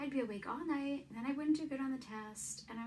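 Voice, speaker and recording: Heard through audible room echo and noticeable background noise, a woman speaks with a high pitch and ordinary pitch variation. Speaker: vlogger. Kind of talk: personal testimony. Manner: stutters; casual, hesitant.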